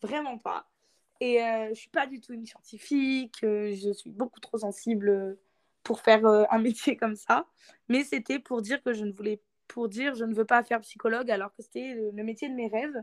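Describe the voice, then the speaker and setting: Using an ordinary speaking voice, a woman talks at a moderate pace with a fairly high pitch and fairly even intonation, though her loudness swings widely. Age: 20s. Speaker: author. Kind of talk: interview.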